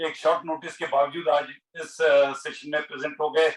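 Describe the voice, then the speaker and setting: A man speaks at a moderate pace with a fairly high pitch. His intonation stays monotone and flat. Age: 60s. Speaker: health educator. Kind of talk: talk to online audience. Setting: video call.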